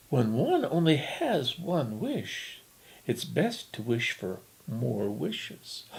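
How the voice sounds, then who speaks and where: A man's fairly high-pitched, put-on character voice at a very slow pace. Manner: sweet, coaxing.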